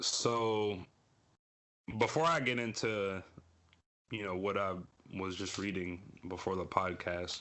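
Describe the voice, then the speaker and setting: The speech moves at a fairly slow pace with long, frequent pauses and ordinary pitch variation. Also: man, fairly low pitch for a man. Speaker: podcast co-host. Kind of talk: casual chat. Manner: casual, halting with many repeats.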